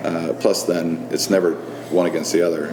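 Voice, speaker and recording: A man with a very deep, low pitch at a moderate pace, over noticeable background noise. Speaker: firefighter and cigar lounge owner. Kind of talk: interview answer. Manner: earthy, accessible.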